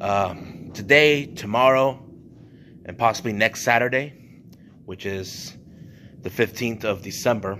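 Male speaker, light background noise underneath. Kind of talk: casual vlog chat. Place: church. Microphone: phone near.

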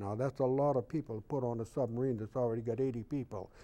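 At a very fast pace, a man speaks with a dark, mellow tone and ordinary pitch variation. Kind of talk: interview answer. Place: studio. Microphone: lapel.

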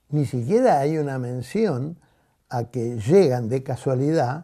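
Against a quiet background, a man speaks with a dark, mellow tone, lively intonation and a fairly high pitch. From Argentina. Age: 80s+. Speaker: teacher. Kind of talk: interview. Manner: halting. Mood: reflective, critical. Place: home room.

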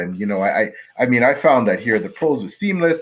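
A man's fairly high voice with vocal fry and very wide pitch swings. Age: 50s. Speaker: author and podcast co-host; podcast co-host. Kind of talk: casual interview. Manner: halting. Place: home room. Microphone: video call.

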